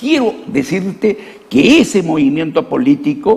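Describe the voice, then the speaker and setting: Over noticeable background noise, a man talks in a high pitch with very wide pitch swings. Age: 70s. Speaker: former congressman, politician. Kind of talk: political interview.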